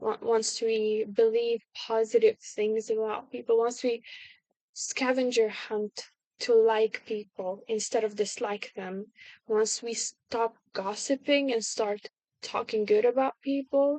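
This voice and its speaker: A woman with a non-native accent speaks very slowly at a fairly high pitch. Her intonation is monotone and flat, and the sound is dry and close with no echo. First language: not English. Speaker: video blogger. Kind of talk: casual monologue. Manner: halting, many fillers and restarts.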